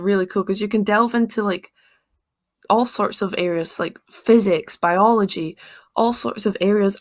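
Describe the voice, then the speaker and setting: This is a woman with a fairly high pitch. Her pitch variation is ordinary. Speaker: tech YouTuber. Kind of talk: casual talk to camera. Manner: fast.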